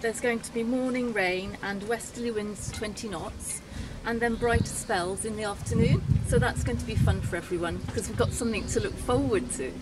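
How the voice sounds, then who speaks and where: Over background music, a woman with a fairly high pitch talks at a fairly quick pace with lively intonation. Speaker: marina front-of-house staff presenter. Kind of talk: friendly scripted-style weather report. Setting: office at marina. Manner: warm, welcoming, chatty; casual, with filler ums. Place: waterside. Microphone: phone near.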